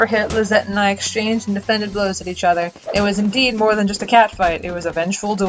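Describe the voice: The delivery is plain reading aloud. Its intonation is fairly even.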